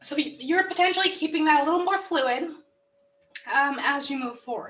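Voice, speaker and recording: A woman's put-on character voice, raspy and hoarse, at an extremely high pitch and a moderate pace. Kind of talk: business presentation.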